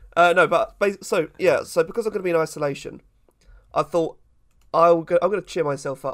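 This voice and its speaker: A man talks at a fairly quick pace in a high voice with fairly even intonation. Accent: British. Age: 20s. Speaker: podcast co-host. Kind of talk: casual chat.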